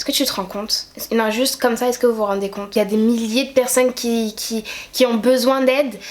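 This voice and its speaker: A woman with a fairly high pitch speaks in a monotone, flat intonation amid noticeable background noise. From Guadeloupe. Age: 20s. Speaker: YouTuber. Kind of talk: opinion rant to camera.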